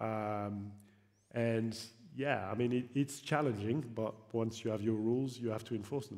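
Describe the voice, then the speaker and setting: Audible room echo surrounds a man's voice. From France. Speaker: football league executive. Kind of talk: panel discussion. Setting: stage with audience. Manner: halting, many fillers and repetitions.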